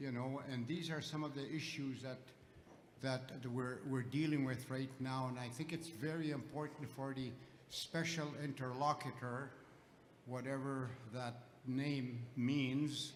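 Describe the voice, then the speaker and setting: With audible room echo, a man talks fairly slowly in a monotone, flat way at a medium pitch. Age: 80s+. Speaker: elder and residential school survivor. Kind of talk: audience comment at public gathering.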